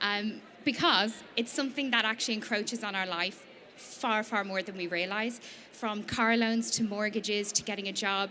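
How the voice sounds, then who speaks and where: A woman's medium-pitched voice with an Irish accent and fairly even intonation, over noticeable background noise. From Ireland, Dublin. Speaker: small business founder. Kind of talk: presentation to an audience. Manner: fast.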